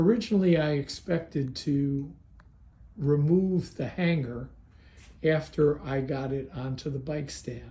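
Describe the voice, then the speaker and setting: A man with a fairly high pitch and dark, mellow tone talks at a fairly slow pace, somewhat breathy, with ordinary pitch variation and audible room echo. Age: 70s. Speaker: hobbyist video maker. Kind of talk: tutorial. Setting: garage.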